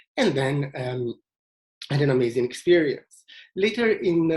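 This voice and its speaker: Somewhat breathy and fairly high-pitched, a man speaks in an Italian accent with a dark, mellow tone. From Italy, Venice. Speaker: tour leader. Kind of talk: presentation. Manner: halting, many fillers.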